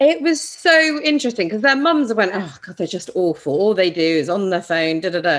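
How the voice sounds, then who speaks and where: With a British accent, a woman talks at a fairly quick pace and a medium pitch, using very wide pitch swings and hardly any pauses over noticeable background noise. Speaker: podcast co-host. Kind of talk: casual chat.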